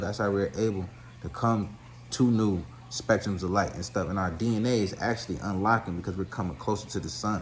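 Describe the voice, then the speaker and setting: With audible room echo, a man with a fairly low pitch and vocal fry talks at a fairly quick pace using lively intonation. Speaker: spiritual commentator. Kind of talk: monologue lecture. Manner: fast; animated.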